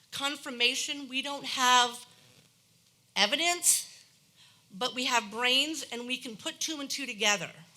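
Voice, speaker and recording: A woman projects a raised, high-pitched voice with a bright, sharp tone. She goes at a fairly slow pace with ordinary pitch variation. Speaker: resident speaking at public hearing. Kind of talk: public comment at council meeting. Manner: animated.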